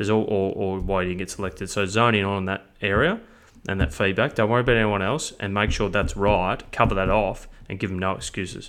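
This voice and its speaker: With an Australian accent, a man talks at a very fast pace in a fairly low pitch, his intonation fairly even. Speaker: football coaching business founder and podcast host. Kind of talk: casual chat. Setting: remote call.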